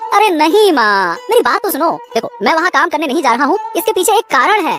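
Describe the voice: A cartoonish character voice rattles along at a very fast pace. Background noise is clearly heard.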